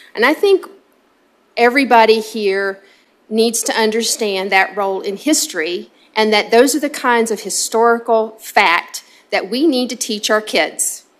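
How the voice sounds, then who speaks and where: A woman speaks with an American accent at a moderate pace, her pitch fairly high with ordinary variation. The recording is very clean, with a silent background. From US South. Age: 50s. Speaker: state legislator. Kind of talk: committee hearing remarks. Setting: legislative committee hearing. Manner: hesitant, many filler ums.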